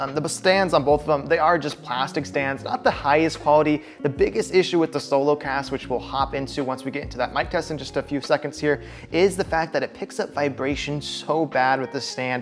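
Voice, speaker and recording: Music plays in the background as a man with a fairly high pitch talks at a fairly quick pace. He shows ordinary pitch variation and hardly any pauses. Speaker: tech reviewer. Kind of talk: product review.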